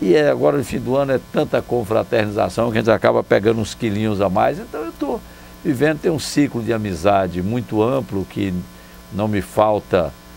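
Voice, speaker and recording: Music plays behind a man with a fairly low pitch. He talks at a moderate pace with lively intonation. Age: 60s. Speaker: former mayor. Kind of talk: interview. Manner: relaxed conversational.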